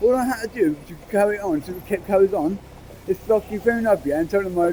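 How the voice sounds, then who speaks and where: A man talks at a very fast pace with a high pitch. Noticeable background noise sits behind him. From England (Bristol). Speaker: homeless man, interviewee. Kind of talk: casual street conversation. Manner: halting, repetitive.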